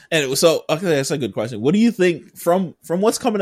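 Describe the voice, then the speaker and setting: A man at a very fast pace, with vocal fry and a dry, close sound with no echo. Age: 30s. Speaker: podcast host. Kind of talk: casual chat.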